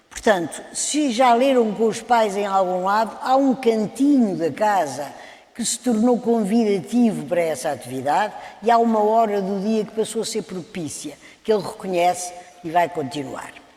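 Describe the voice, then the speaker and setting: Lively intonation marks this woman's speech at a medium pitch. Noticeable background noise is present. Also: moderate pace. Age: 70s. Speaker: children's book author. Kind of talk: panel talk.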